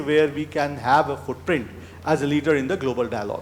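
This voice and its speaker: The talking moves at a fairly quick pace while noticeable background noise sits underneath. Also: man. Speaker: advisory board member. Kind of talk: speech.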